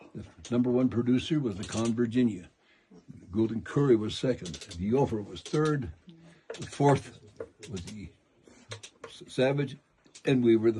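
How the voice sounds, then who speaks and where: With an American accent, the speaker has a dark, mellow, somewhat breathy tone, ordinary pitch variation, big swings in loudness and a moderate pace broken by long, frequent pauses. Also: man, medium pitch for a man. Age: 80s+. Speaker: mine tour guide. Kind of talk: guided tour talk. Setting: inside a mine with tour group. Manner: animated.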